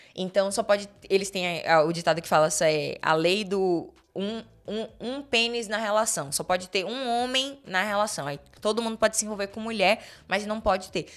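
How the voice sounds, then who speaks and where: Recorded very cleanly against a silent background, a woman with a normal speaking voice talks at a moderate pace and medium pitch with ordinary pitch variation. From Brazil, Salvador, Bahia. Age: 30s. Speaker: podcast guest. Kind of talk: casual chat. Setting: in-person recording.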